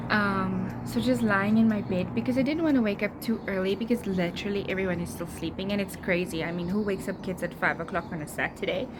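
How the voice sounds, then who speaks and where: With music in the background, a soft-spoken woman talks at medium pitch, very fast and with hardly any pauses, in lively intonation. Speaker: lifestyle vlogger. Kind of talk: casual vlog chat. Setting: outdoors on a balcony.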